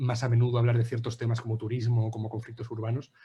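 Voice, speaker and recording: A man talks at a very fast pace in a somewhat breathy voice with a dark, mellow tone. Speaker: anthropology researcher. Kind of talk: academic presentation.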